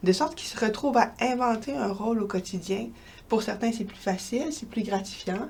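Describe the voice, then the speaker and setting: A woman's somewhat breathy, dark, mellow voice with a slight Quebec accent, ordinary pitch variation and a moderate pace. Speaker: researcher and professor. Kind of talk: interview.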